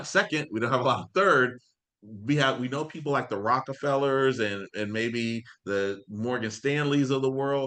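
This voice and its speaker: With a Floridian accent, a man talks at a fairly quick pace and medium pitch, with ordinary pitch variation and a bright, sharp, animated tone over a quiet background. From Florida (Ocala, Tampa). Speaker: financial coach. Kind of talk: live online class. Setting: video livestream. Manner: animated, casual.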